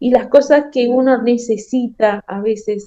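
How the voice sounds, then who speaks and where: Very slowly, a woman with a high pitch and a dark, mellow tone speaks with ordinary pitch variation. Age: 60s. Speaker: caregiver. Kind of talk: interview.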